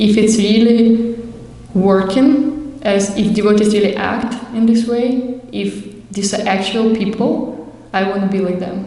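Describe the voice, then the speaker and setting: A woman's medium-pitched voice with a Russian accent and fairly even intonation, plus audible room echo and noticeable background noise. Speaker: Hare Krishna devotee. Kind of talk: testimony. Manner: halting.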